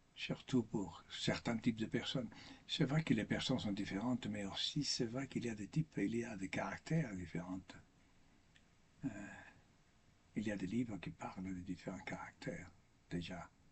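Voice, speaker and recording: A somewhat breathy man with a non-native accent speaks with long, frequent pauses. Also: lively intonation, moderate pace. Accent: foreign accent in French, makes mistakes. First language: not French (speaking French). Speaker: priest or religious speaker. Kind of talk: spiritual talk. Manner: halting, with repetitions.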